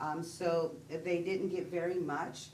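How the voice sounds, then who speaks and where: A woman talks in an American accent with monotone, flat intonation. The room echo is audible. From Texas. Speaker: disaster case manager. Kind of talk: presentation at public meeting. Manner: hesitant, with fillers.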